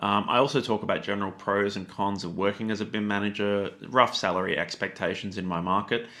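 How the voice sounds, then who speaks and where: At a fairly quick pace, a man with an Australian accent uses a bright, sharp tone, a fairly low pitch and fairly even intonation. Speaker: YouTube tutorial creator. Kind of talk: educational talk to camera. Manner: fast; casual with many fillers.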